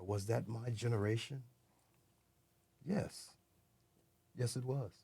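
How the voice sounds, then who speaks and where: Speaking at a very slow pace, a man has a medium pitch and a dark, mellow, somewhat breathy tone. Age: 60s. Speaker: former death row inmate, speaker. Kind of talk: interview conversation.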